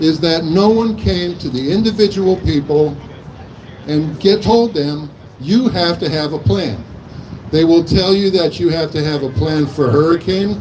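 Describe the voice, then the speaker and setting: A man's fairly high voice, full of lively intonation, moves at a fairly slow pace with noticeable background noise around it. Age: 60s. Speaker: physician. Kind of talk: protest speech.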